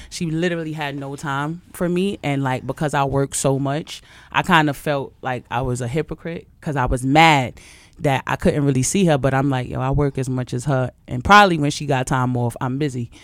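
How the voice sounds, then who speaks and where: On a very clean recording with a silent background, the talking proceeds at a moderate pace. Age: 30s. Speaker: musician. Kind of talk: casual chat.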